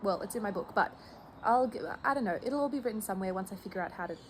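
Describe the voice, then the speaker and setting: Pitch moves in an ordinary way, with an Australian accent. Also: woman. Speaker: knitting vlogger. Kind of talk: casual vlog chat. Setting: outdoors near a highway at sunset.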